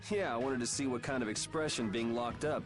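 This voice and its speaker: Over loud background noise, a man at medium pitch races along very fast in a cartoonish character voice. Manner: wry, laid-back.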